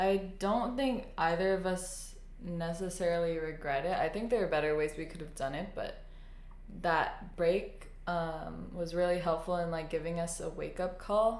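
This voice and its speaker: Audible room echo accompanies speech at a moderate pace. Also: woman, fairly low pitch for a woman, ordinary pitch variation. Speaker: podcast co-host. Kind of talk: casual chat. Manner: loud.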